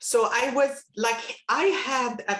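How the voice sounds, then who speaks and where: A woman speaks in a high voice. She has a non-native accent. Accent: foreign. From Palestine. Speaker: retired business executive. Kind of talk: interview. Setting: video call.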